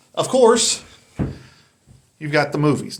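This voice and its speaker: Speaking with a North Carolina accent, a man lets his pitch swing very widely. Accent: Southern US, North Carolina. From US South, North Carolina. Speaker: YouTuber, dating commentator. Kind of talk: casual monologue commentary. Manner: casual, conversational.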